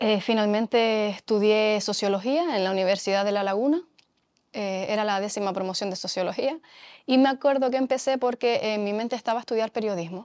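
With a quiet background, a woman speaks fairly quickly in a fairly high voice with ordinary pitch variation and an unremarkable speaking voice. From Canary Islands, Mogán (Gran Canaria); Canary Islands, Spain. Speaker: sociologist; interviewee. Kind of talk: testimony interview. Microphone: lapel.

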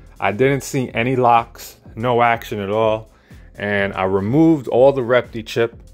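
A man talks at a fairly slow pace with fairly even intonation while faint music plays in the background. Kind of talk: casual vlog chat. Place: home room. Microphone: phone near.

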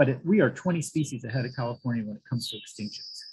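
With an American accent, a man speaks with lively intonation and a somewhat breathy sound against a quiet background. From US South, Florida panhandle; Florida. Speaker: biology professor. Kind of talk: lecture. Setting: talk with slides for live audience. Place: home room.

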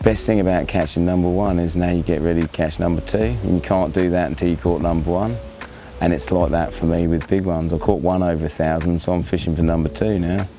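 A man with a very deep, low pitch talks at a very fast pace, his loudness very even and his pitch variation ordinary. The sound is dry with no echo, and faint music plays in the background. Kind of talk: interview answer. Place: waterside.

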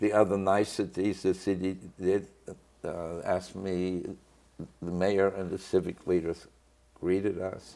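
Speaking at a very slow pace in a German accent, a man uses a very deep, low pitch, a dark, mellow tone and monotone, flat intonation. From Germany, Cologne; Germany. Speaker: Holocaust survivor and author. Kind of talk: interview. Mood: grave, reflective. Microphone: lapel.

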